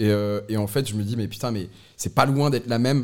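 This is a man with an ordinary speaking voice at a medium pitch. He talks at a fairly quick pace with fairly even intonation. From northern France, Lille. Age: 30s. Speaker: brewery co-founder. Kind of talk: casual chat.

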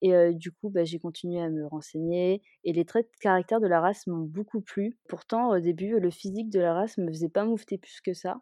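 Her delivery fairly quick, a woman with an ordinary speaking voice keeps a medium pitch and fairly even intonation, though her loudness swings widely. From Malaysia (French expat childhood, Kuala Lumpur). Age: 20s. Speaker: dog owner. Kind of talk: interview.

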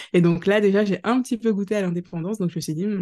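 A dark, mellow tone with fairly even intonation against a quiet background. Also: woman. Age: 30s. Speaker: career changer, mother of two. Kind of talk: podcast interview testimony. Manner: casual with frequent hesitations.

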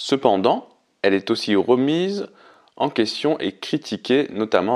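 Over a quiet background, a man with an unremarkable speaking voice talks at a fairly slow pace with ordinary pitch variation. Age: 30s. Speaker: podcast host. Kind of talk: solo podcast monologue. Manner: reads prepared text.

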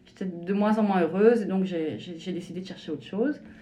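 Ordinary pitch variation, with audible room echo and noticeable background noise. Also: woman. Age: 40s. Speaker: shiatsu practitioner. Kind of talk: interview testimony. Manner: hesitant, many fillers.

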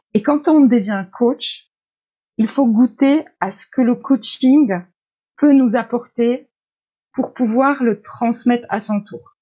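Someone with a Polish accent speaks at a very slow pace, leaving long, frequent pauses. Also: woman, high pitch for a woman, ordinary pitch variation. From Poland. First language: Polish (speaking French). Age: 40s. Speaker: life coach. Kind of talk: interview.

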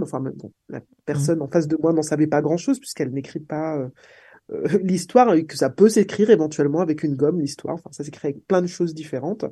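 A woman talks at a very fast pace in a very deep, low pitch with a dark, mellow tone. Her intonation is lively, and the background is quiet. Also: big swings in loudness. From Martinique. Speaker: political scientist. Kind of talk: interview. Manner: halting.

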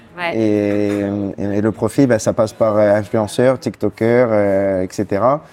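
Noticeable background noise is present. The talking goes at a very slow pace. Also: man, fairly low pitch for a man, ordinary pitch variation. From Corsica (Bastia). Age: 30s. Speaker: singer-songwriter. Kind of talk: interview. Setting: café. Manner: hesitant, many fillers.

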